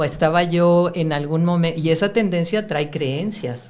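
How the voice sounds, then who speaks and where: A woman's ordinary speaking voice at a fairly slow pace, with ordinary pitch variation. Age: 60s. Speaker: spiritual teacher. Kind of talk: interview.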